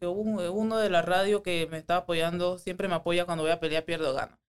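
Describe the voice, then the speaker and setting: Her pitch fairly low and her intonation fairly even, a woman talks in a plain, everyday voice. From Panama, Panama City area. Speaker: MMA fighter. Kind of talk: casual chat.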